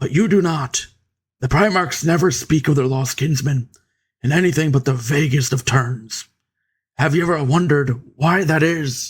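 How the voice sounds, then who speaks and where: A man uses a put-on character voice, raspy and fairly high in pitch. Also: moderate pace, ordinary pitch variation, very even loudness. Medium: read story. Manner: measured, grave.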